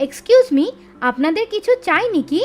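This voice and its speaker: A woman speaks in a put-on, squeaky character voice at extremely high pitch, her pitch swinging very widely at a moderate pace over faint background music. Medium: cartoon. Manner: polite, deferential.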